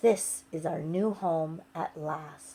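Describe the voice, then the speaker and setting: A put-on character voice is used here. It sounds female and sits at middle pitch. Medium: read story.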